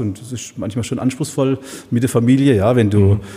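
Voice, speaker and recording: A man's speech shows ordinary pitch variation, with noticeable background noise behind it. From Heilbronn area, Baden-Württemberg. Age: 50s. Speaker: supermarket owner. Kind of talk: casual interview. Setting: event room above a supermarket. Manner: hesitant, many filler sounds.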